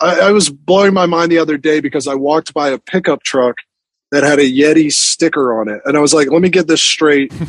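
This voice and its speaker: This man has an ordinary speaking voice, fairly high in pitch with ordinary variation, delivered at a fairly quick pace with a dry, close sound and no echo. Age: 40s. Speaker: magazine editor. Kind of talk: casual interview. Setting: video call.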